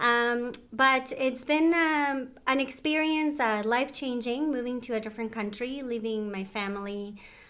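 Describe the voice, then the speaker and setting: A woman in a Mexican accent speaks at a moderate pace with a high pitch and a bright, sharp tone. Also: ordinary pitch variation. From Mexico. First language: Spanish. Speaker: retirement home manager. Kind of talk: interview.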